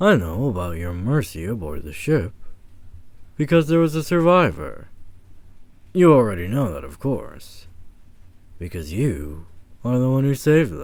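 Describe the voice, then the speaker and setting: Putting on a character voice, a man at medium pitch makes very wide pitch swings at a moderate pace, with long, frequent pauses on a very clean recording with a silent background. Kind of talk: ASMR audio roleplay. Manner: calm, measured monologue.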